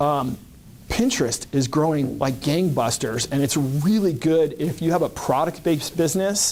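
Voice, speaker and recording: In a very clean recording with a silent background, a man with an unremarkable speaking voice talks at a moderate pace and very even loudness, his fairly high pitch showing ordinary variation. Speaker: LinkedIn marketing consultant. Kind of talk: presentation to a business group.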